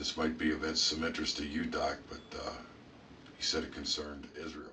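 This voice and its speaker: Raspy and very deep, a man's put-on character voice rolls along at a moderate pace with audible echo. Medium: audio drama. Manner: halting, conversational.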